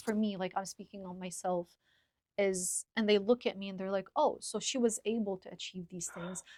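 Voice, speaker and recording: The voice has a dark, mellow tone, an Arabic accent and a monotone, flat intonation with big swings in loudness at a fairly quick pace. The sound is dry and close with no echo, in a very clean recording with a silent background. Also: woman. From Lebanon. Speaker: podcaster. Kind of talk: casual chat. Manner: articulate.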